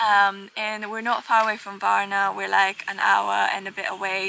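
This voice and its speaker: There is noticeable background noise. Over it, a woman talks at a medium pitch. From Bulgaria. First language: Bulgarian. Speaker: vlogger. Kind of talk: casual chat.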